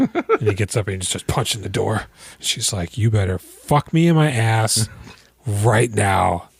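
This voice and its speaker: In a dry, close sound with no echo, a man speaks at a medium pitch with ordinary pitch variation over noticeable background noise. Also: fairly slow pace. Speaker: movie podcast host. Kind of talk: casual chat. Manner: animated.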